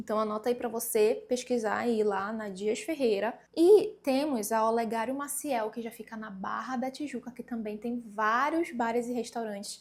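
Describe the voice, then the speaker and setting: A woman with an animated tone and fairly high pitch, moderate pace with hardly any pauses, ordinary pitch variation and big swings in loudness. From Pará, northern Brazil. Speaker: travel vlogger. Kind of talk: casual travel tips vlog. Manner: conversational, animated.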